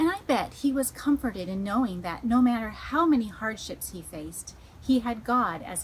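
A woman speaks at a moderate pace over light background noise. Her intonation is lively. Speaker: children's ministry host. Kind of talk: children's devotional talk. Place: garden. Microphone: phone near.

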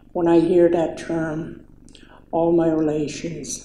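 Through light background noise and audible room echo, a woman speaks very slowly in a monotone, flat way, her fairly low pitch carrying a dark, mellow tone. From Saskatchewan, Canada (First Nation). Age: 60s. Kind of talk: personal testimony speech. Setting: public event with audience. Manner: halting. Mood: reflective, calm. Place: hall.

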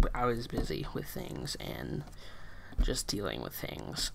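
The pace is fairly slow. Background noise is clearly noticeable. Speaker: video creator. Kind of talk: casual vlog chat. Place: home room. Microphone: webcam.

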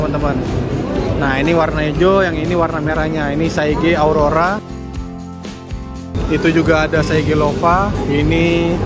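Clear music plays in the background. A man speaks, and the sound is dry with no echo. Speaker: event vlogger. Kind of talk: casual walkthrough commentary. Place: hall. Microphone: phone near.

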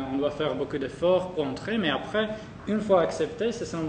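A moderately paced man's voice, ordinary in pitch movement, amid audible room echo and a little background noise. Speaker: student. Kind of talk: testimony. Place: hall.

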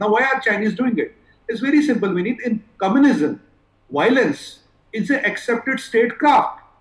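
Audible room echo surrounds a man speaking at a high pitch and moderate pace with ordinary pitch variation. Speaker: political analyst. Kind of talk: TV debate commentary.

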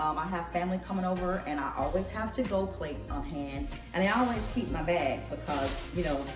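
Clear music sits in the background while a woman talks at a moderate pace. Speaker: home vlogger. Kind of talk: casual vlog chat. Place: kitchen. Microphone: camera far.

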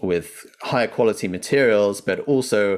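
A fairly low-pitched man's voice at a fairly slow pace, with ordinary pitch variation and a quiet background. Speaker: remote podcast guest. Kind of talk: interview answer. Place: home room. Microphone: earbuds.

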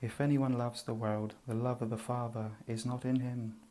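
A soft-spoken man with a soothing, dark and mellow tone at a medium pitch. His intonation stays monotone and flat. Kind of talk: soft-spoken Bible reading for relaxation. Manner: soft-spoken, soothing.

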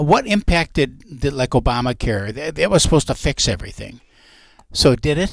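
A man with an American accent, fairly high in pitch, with vocal fry, at a moderate pace, dry with no echo over a quiet background. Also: lively intonation. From Minnesota. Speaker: radio host and realtor; radio show co-host. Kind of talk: radio talk show. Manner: animated. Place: studio. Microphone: headset.

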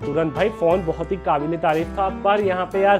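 A high-pitched man speaks with fairly even intonation at a moderate pace. Clear music plays in the background. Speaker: tech video host. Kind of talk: casual tech commentary. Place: home room.

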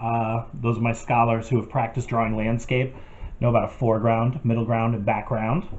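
A man's somewhat breathy voice. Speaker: art teacher. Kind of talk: tutorial. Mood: calm, friendly.

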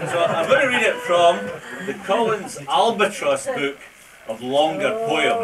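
A man at a fairly slow pace against loud background noise. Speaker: amateur poetry reciter. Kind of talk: casual introduction to a live audience. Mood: humorous, self-deprecating. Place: hall. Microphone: old recording.

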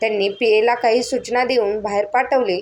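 Someone reads in a natural voice.

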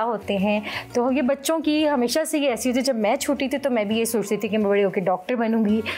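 A woman speaks at a moderate pace with faint music in the background. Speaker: children's show host. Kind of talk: storytelling talk to children. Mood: warm, friendly. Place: studio.

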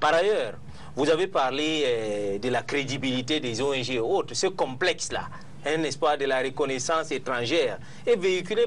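Light background noise under a man's moderately paced speech. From Cameroon. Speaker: human rights NGO worker; panelist. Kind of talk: televised debate. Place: studio. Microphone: lapel.

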